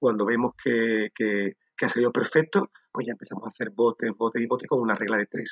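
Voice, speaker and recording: An unremarkable speaking voice from a man at medium pitch, fairly quick and with hardly any pauses, fairly even in intonation, in a dry, close sound with no echo. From Andalusia, Sanlúcar de Barrameda (Cádiz). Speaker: food company founder. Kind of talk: interview.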